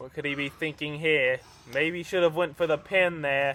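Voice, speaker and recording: A man speaks in a raised, projected voice at a moderate pace. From Britain. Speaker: wrestling commentator. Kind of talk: live commentary. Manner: animated.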